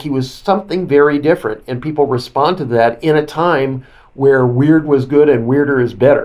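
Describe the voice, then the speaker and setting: A man with a normal speaking voice talks at a moderate pace in a fairly high pitch, with ordinary pitch variation. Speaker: author and broadcaster. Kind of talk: interview commentary.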